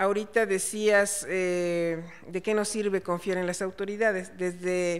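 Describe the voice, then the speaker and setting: A woman's voice sits at medium pitch, moving at a fairly slow pace in a monotone, flat intonation. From Chiapas, Mexico. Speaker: panel moderator. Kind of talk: panel discussion.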